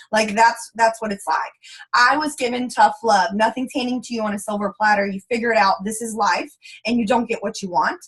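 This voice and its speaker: Speaking in a Texas accent, a woman sounds animated at a fairly high pitch and a fairly quick pace. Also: ordinary pitch variation. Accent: Texas Southern US. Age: 20s. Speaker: network marketing leader. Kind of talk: motivational training talk. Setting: conference call. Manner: fast.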